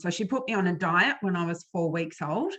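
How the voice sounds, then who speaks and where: A woman with an Australian accent and a fairly low voice speaks at a moderate pace. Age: 50s. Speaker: author and former flutist. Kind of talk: interview about eating disorder recovery. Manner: hesitant, many fillers.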